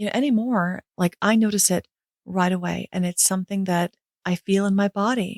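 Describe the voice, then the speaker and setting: Recorded dry and close with no echo, a woman speaks with a New York accent at a medium pitch and ordinary pitch variation. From New York City. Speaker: podcast host, business coach. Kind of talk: podcast monologue. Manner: fast.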